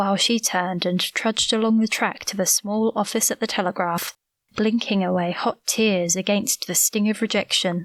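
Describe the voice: The background is quiet. Plain reading aloud comes through with fairly level intonation.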